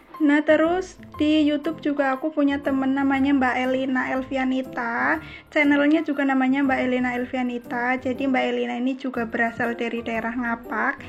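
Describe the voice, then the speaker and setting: A woman with a high pitch at a fairly quick pace, with fairly even intonation and hardly any pauses, against noticeable background noise. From Central Java, Cilacap. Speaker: housewife vlogger. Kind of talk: casual vlog chat while cleaning. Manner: chatty, informal.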